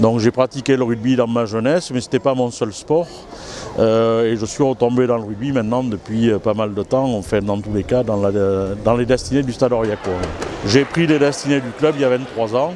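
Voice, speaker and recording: With music in the background, a man speaks at medium pitch and a moderate pace, his intonation fairly even. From France, Cantal (Arpajon-sur-Cère). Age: 60s. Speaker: rugby club president and store director. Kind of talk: interview. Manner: hesitant, many fillers.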